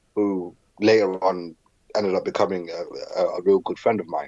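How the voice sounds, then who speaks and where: A man keeps a moderate pace as he talks in a British accent. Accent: British, adopted as a child. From southern Africa, moved to England as a child. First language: Zulu. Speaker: professional wrestler. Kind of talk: podcast interview. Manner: hesitant, frequent repetitions.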